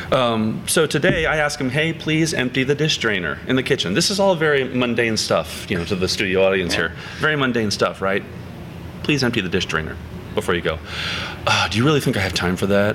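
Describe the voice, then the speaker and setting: A man's medium-pitched voice with very wide pitch swings at a fairly quick pace, over noticeable background noise. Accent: American. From central Pennsylvania. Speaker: singer-songwriter. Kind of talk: casual chat.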